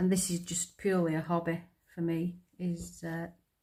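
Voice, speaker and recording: A woman's somewhat breathy, dark, mellow voice with a strong northern English accent and monotone, flat intonation. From northern England. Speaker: crafter, retired nurse. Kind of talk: casual chat while crafting. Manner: hesitant, with many ums and repeats.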